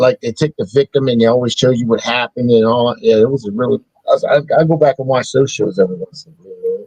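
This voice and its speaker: Talking very fast with hardly any pauses, a somewhat breathy man uses ordinary pitch variation in a dry, close sound with no echo. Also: medium pitch for a man. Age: 40s. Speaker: podcast co-host. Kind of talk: casual chat. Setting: live stream.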